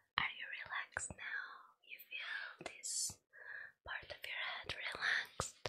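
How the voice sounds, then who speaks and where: A woman whispering in a gentle tone at a very slow pace, with light background noise. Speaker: role-play host. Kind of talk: soft-spoken ASMR role play. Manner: gentle close whisper.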